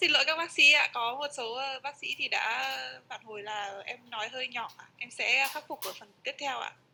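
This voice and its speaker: Over music in the background, a woman speaks quietly at a high pitch and a fairly quick pace, with ordinary pitch variation and big swings in loudness. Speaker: interpreter. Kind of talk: consecutive interpretation. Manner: too quiet. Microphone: mic issue, sounds too quiet.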